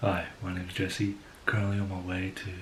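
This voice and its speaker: The voice is soft-spoken and somewhat breathy. Its intonation stays fairly even. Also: man. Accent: Australian. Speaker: photography vlogger. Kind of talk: vlog narration.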